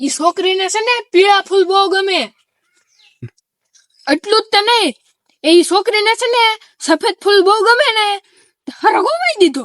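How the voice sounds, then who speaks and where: A woman's extremely high put-on character voice with lively intonation at a moderate pace, in a dry, close sound with no echo. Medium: comedy sketch.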